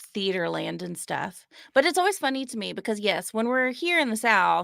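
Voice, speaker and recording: Her tone is bright and sharp, and the woman's pitch swings very widely at a moderate pace. The recording is very clean, with a silent background. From Alabama, Birmingham. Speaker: comedy video creator. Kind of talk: casual chat. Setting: livestream.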